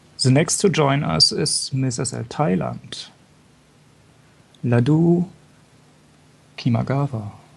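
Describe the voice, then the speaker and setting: In a strong German accent, a man with a fairly high pitch and a somewhat breathy voice talks at a very slow pace with lively intonation and long, frequent pauses. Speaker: fashion show commentator. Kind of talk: live show commentary. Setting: live broadcast.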